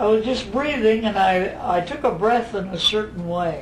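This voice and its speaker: A man's high-pitched voice with lively intonation, amid audible room echo and noticeable background noise. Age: 80s+. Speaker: spiritual teacher. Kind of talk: casual interview at home. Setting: private home.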